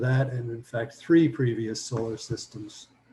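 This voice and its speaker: A man's dark, mellow, somewhat breathy voice, fairly even in intonation and fairly slow in pace. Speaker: lecturer on anthroposophy. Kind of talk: lecture. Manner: hesitant with frequent fillers.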